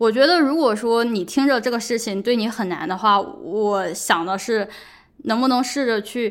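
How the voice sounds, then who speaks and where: The speaker talks in a plain, everyday voice, keeping a moderate pace. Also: woman, fairly high pitch for a woman, ordinary pitch variation. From China. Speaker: podcast host; PhD student. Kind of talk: solo monologue podcast. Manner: casual, conversational.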